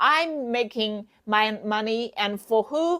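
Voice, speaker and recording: Bright and sharp in tone, the voice carries lively intonation with a Chinese accent. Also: woman. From China. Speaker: wig seller and sales coach. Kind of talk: tutorial. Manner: animated; halting.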